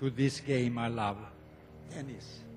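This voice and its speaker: Speaking with a Swedish accent, a man goes at a fairly slow pace. There is music in the background. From Sweden. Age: 70s. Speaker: retired tennis player, hall of fame inductee. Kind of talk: acceptance speech.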